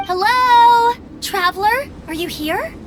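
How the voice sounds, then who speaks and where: Against clear background noise, a woman uses a squeaky put-on character voice pitched extremely high. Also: fairly slow pace. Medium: video game. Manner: bright, energetic.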